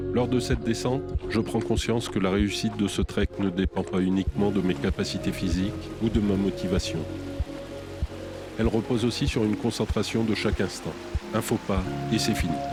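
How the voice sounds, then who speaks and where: With music in the background, a man with a fairly low voice talks at a fairly quick pace, keeping his loudness very even and his pitch variation ordinary while taking long, frequent pauses. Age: 50s. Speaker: hiker and documentary narrator. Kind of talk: scripted narration.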